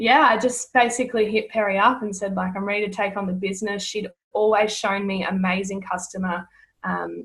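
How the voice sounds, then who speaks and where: Somewhat breathy, a woman speaks with an Australian accent and fairly even intonation. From Australia, rural Victoria. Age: 20s. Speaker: network marketing distributor. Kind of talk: casual interview.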